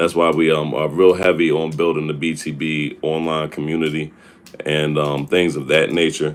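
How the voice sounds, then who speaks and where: In a monotone, flat delivery, a man speaks with a very deep, low pitch. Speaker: hip hop artist and label head. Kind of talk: live stream Q&A. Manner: casual, filler-heavy.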